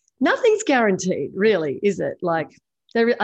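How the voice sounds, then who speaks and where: Her accent is Australian. The speaker is a woman. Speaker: podcast co-host, property investor. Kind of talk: casual chat.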